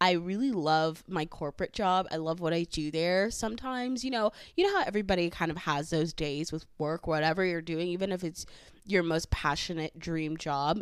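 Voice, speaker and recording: A fairly quick pace with ordinary pitch variation, in a very clean recording with a silent background. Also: woman, fairly low pitch for a woman. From San Fernando Valley, California. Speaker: podcast host. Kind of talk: solo casual podcast monologue. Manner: casual, chatty, with fillers.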